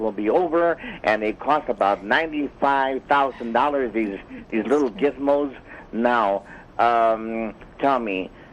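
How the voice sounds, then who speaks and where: A man's medium-pitched voice at a very slow pace. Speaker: caller. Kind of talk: phone call-in question.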